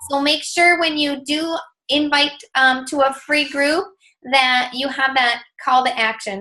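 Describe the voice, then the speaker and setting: A woman's high-pitched, raised and projected voice, bright and sharp in tone, with ordinary pitch variation at a fairly slow pace. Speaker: fitness coach team leader. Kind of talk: team training call. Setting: group call. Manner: animated.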